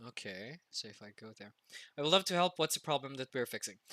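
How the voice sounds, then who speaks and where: Recorded with a dry, close sound and no echo, a man speaks in a bright, sharp tone. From Philippines. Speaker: streamer. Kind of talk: casual livestream chat. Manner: loud.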